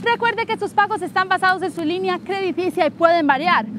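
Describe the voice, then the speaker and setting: A woman's extremely high, upbeat voice with very wide pitch swings, dry with no echo, over noticeable background noise. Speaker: car dealership presenter. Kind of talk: infomercial sales pitch. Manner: upbeat, persuasive salesy delivery. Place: street.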